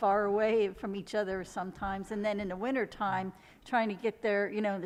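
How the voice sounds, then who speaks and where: A woman with an ordinary speaking voice at a medium pitch, fairly quick, with fairly even intonation. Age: 60s. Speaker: photographer. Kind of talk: interview.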